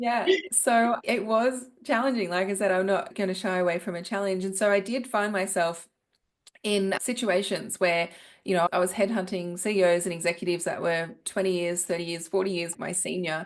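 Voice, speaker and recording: A woman speaks at a moderate pace and medium pitch with an Australian accent. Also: ordinary pitch variation, quiet background. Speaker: business professional, former headhunter. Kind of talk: podcast interview.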